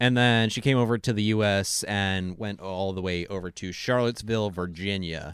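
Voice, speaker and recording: In a very clean recording with a silent background, a man with an American accent talks at a moderate pace in a fairly low pitch with ordinary pitch variation and an ordinary speaking voice. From US Pacific Northwest. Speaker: podcast guest. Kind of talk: casual chat.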